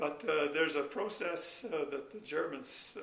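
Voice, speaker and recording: There's noticeable background noise and audible room echo as a man speaks at a moderate pace. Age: 70s. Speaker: retired energy researcher. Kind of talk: interview. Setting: sit-down interview. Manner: hesitant, many filler words.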